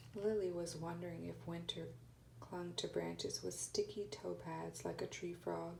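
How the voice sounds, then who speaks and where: A soft-spoken woman talks at a moderate pace. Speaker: ASMR reader. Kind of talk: read story.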